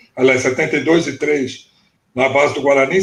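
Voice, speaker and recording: A man talks in a plain, everyday voice. His intonation is fairly even and his pace moderate. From Brazil, São Paulo state interior. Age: 60s. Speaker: former footballer and football coach. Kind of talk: interview storytelling on a live stream. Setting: live video stream.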